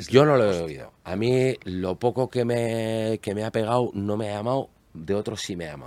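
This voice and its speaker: Speaking at a moderate pace, an ordinary speaking voice has ordinary pitch variation and big swings in loudness. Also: man, fairly low pitch for a man. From Basque Country, Spain (Barakaldo). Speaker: guitarist. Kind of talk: casual chat. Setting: studio.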